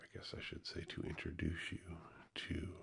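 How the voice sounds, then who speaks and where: A man's voice comes through somewhat breathy. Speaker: ASMR creator. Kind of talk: soft ASMR channel talk. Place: studio. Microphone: studio mic.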